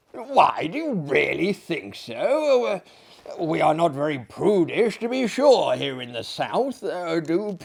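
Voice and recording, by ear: The voice reads aloud and sounds natural.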